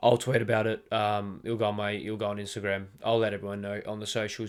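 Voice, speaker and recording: With an Australian accent, a man speaks very fast with hardly any pauses, in a fairly low, monotone, flat voice, on a very clean recording with a silent background. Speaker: football podcast host. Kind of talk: solo podcast monologue. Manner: halting, many fillers.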